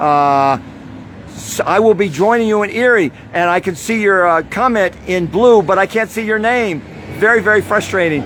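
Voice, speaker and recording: A man with an American accent and lively intonation at a moderate pace, over noticeable background noise. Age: 70s. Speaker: activist protester. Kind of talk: live stream monologue. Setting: outdoors. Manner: impassioned.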